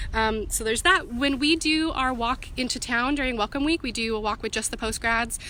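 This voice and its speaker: A woman speaks with an American accent at a high pitch, with ordinary pitch variation and hardly any pauses. Noticeable background noise runs underneath. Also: fairly quick pace. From US Pacific Northwest. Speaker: student union representative. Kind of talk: live-stream Q&A. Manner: fast; casual, filler-heavy.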